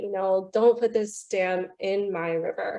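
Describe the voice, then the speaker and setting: In an American accent, a woman speaks with a dark, mellow tone and ordinary pitch variation over a quiet background. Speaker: river conservation campaigner. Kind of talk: online panel talk. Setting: video call. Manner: animated.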